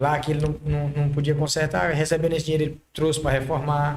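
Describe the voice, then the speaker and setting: A somewhat breathy man speaks very fast at a fairly high pitch. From Maranhão, northeastern Brazil. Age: 30s. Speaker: car body painter, entrepreneur. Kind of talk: podcast interview.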